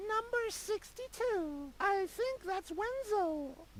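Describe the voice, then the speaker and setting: An extremely high, squeaky put-on character voice speaks at a very slow pace over clear background noise. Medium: video game. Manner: snippy, dismissive.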